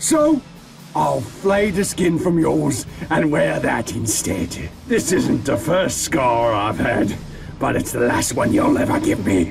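A man speaks at a fairly slow pace with clear background noise behind him. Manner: silky, sadistic, relishing.

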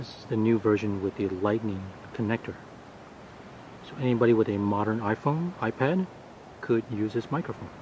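A man talks at a moderate pace with ordinary pitch variation and long, frequent pauses, in a dry sound with no echo and light background noise. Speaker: gear reviewer. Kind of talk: tutorial. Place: beach. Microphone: phone near.

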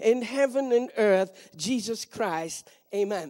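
Against a quiet background, the speech goes at a fairly slow pace. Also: woman. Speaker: speaker. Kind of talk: prayer then sermon. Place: stage. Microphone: handheld.

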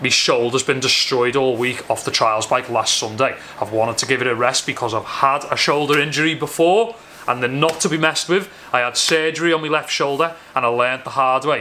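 A man's voice moves at a fairly quick pace, its pitch varying in an ordinary way, with light noise behind it. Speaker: vlogger. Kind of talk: casual vlog chat. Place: garage. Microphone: phone near.

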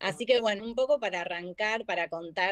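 A woman at a medium pitch speaks with ordinary pitch variation, in a dry sound with no echo and light background noise. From Argentina. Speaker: marketing manager; guest. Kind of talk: live online class. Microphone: video call.

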